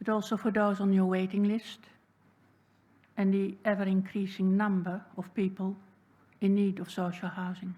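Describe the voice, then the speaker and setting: A woman's somewhat breathy, medium-pitched voice with a Dutch accent, dark and mellow in tone, at a fairly slow pace. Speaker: public submitter. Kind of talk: public submission speech.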